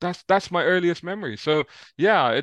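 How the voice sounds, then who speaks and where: Speaking fairly quickly in a London accent, a man is heard with a dry, close sound with no echo over a quiet background. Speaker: motoring journalist. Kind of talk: interview.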